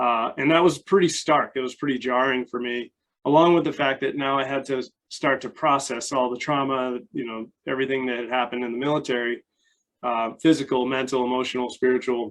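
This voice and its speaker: Here is a man with an American accent and an ordinary speaking voice. He talks at a medium pitch and a fairly quick pace, with fairly even intonation. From United States. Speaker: life coach and army veteran. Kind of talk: interview. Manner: casual.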